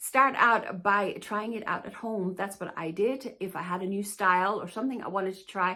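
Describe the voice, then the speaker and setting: Fairly quick in pace, a woman talks at a medium pitch with a bright, sharp tone. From Denmark. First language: Danish. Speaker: plus-size fashion YouTuber and stylist. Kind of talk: casual Q&A talk to camera.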